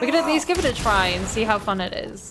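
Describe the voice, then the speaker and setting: A woman with a medium pitch speaks at a fairly quick pace with lively intonation. Music plays in the background, and the room echo is audible. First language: Dutch. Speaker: video game streamer. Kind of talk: live gameplay commentary. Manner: casual, chatty.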